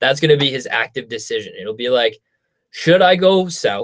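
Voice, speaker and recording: With lively intonation, a man speaks at a moderate pace in an unremarkable speaking voice. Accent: Canadian. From Canada. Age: 20s. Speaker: YouTuber. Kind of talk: live stream Q&A. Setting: home studio live stream. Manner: casual, filler-heavy.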